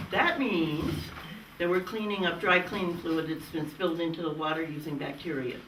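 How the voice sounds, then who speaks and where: At a moderate pace, a woman talks in a fairly low voice with audible room echo and noticeable background noise. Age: 80s+. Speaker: hydrogeologist expert panelist. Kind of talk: panel discussion. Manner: animated.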